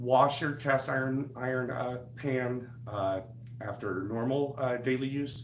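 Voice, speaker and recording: There is audible room echo and noticeable background noise as a man speaks with fairly even intonation. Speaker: cooking channel host. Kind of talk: live stream tutorial. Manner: halting, many fillers.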